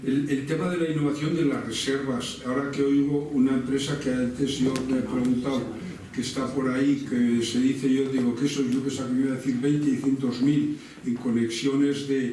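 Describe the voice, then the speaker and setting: A man with a medium pitch speaks at a moderate pace in a flat monotone, with audible room echo and noticeable background noise. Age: 70s. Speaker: innovation consultancy founder. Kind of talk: Q&A discussion after a talk. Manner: halting, many repetitions and false starts.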